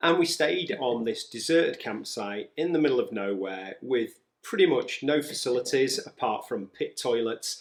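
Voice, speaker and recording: Hardly pausing at all, a man keeps to a moderate pace. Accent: English. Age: 50s. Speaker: retired teacher and travel vlogger. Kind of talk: casual travel chat.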